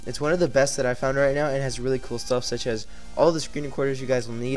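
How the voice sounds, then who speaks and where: Music in the background behind a man's medium-pitched voice. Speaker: tech YouTuber. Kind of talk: screen-recorded tech tutorial. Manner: monotone.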